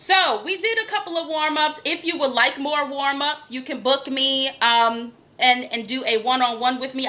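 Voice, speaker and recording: With an American accent, a woman speaks in a raised, projected voice at a high pitch, animated and at a moderate pace, over noticeable background noise. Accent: New York accent when passionate. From New York. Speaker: acting coach. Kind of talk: acting class. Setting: live video stream.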